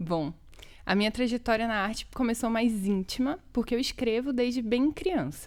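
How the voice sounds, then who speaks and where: A woman speaks at a moderate pace in a fairly high pitch, with lively intonation. Her loudness stays very even. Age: 20s. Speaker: poet and educator, cultural worker. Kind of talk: interview conversation. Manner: casual, colloquial.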